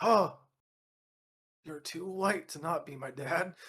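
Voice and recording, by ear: This is a put-on character voice, hoarse and middle in pitch. It moves at a fairly slow pace.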